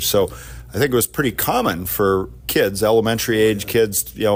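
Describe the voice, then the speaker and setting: A man is speaking. His pace is moderate. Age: 50s. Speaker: podcast host, tech company CEO. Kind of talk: interview questions.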